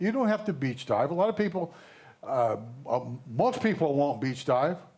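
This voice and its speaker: Over noticeable background noise, a man with a high pitch swings very widely in pitch. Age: 70s. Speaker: scuba diver. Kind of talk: casual chat.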